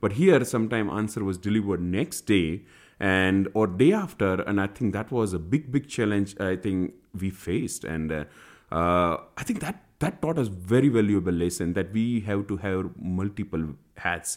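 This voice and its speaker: With a fairly low pitch and ordinary pitch variation, a man talks at a moderate pace in a very clean recording with a silent background. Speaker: SQL Server consultant. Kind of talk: interview. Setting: recording at a conference.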